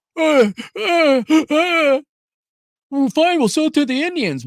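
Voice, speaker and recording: A put-on character voice speaks in a high pitch. The pace is fairly slow. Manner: flustered, stammering.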